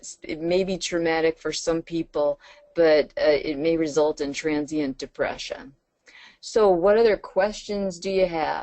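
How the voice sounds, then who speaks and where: In an American accent, an unremarkable speaking voice moves at a fairly slow pace with lively intonation. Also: woman. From New York. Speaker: trainer. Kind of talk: webinar lecture. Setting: webinar.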